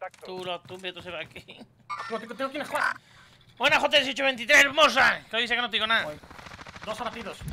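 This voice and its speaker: A man uses a raised, projected voice at an extremely high pitch, talking at a fairly quick pace with lively intonation, big swings in loudness and long, frequent pauses over noticeable background noise. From Spain. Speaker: gaming streamer. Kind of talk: live gameplay commentary. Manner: animated. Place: home room.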